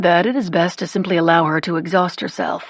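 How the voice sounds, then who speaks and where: Someone uses a put-on character voice at a middle pitch. The pace is fairly quick. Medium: read story. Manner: dry, idle.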